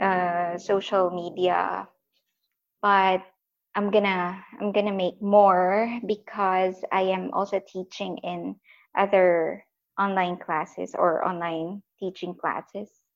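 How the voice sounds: The voice moves slowly, with little pitch movement. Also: woman.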